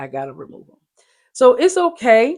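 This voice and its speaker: A woman speaks in an animated tone. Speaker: faith vlogger. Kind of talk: inspirational message. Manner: fast.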